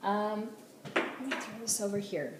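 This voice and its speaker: A fairly slow pace, with audible room echo and noticeable background noise. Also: woman. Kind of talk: casual video blog tutorial. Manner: hesitant, many fillers.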